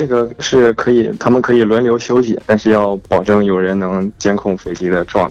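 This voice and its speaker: The speaker has a slight northeastern Chinese accent and fairly even intonation, talking at a moderate pace with hardly any pauses. Noticeable background noise is present. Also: man, fairly low pitch for a man. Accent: northeastern Mandarin, slight. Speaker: aviation worker, air traffic related. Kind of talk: casual phone call chat. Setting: phone call.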